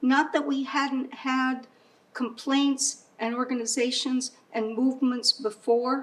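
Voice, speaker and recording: Against noticeable background noise, a woman with an American accent talks at a very slow pace in a high pitch with monotone, flat intonation. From San Antonio, Texas. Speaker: poet and storyteller. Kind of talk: interview answer, personal memories.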